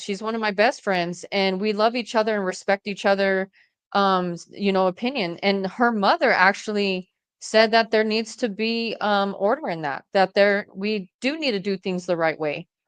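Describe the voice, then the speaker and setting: With an American accent, a woman talks at a moderate pace in a medium pitch with ordinary pitch variation, an ordinary speaking voice heard in a dry, close sound with no echo against a quiet background. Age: 40s. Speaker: domestic violence survivor and podcaster. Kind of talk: interview conversation.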